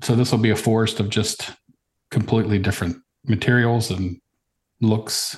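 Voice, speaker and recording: A man with an American accent, fairly low in pitch and somewhat breathy, at a moderate pace with fairly even intonation, very even loudness and long, frequent pauses. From Virginia, US. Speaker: woodworker. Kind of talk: casual chat.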